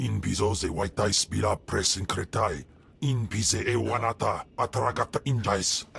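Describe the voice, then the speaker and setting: Using a put-on character voice, a man speaks at a moderate pace with a medium pitch. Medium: video game.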